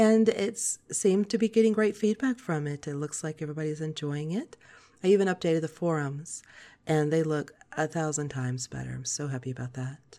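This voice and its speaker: Calm in tone yet lively in intonation, a woman with a very deep, low pitch and a dark, mellow timbre talks at a fairly quick pace with big swings in loudness. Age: 40s. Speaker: podcast host. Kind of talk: scripted-style podcast monologue. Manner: soft, calm, less pitch fluctuation.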